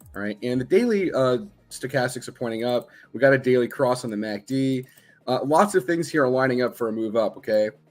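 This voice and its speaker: A man at a medium pitch, talking at a fairly quick pace with ordinary pitch variation. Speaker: trading educator. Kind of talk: live-stream tutorial. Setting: live stream. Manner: fast; casual, repetitive with fillers.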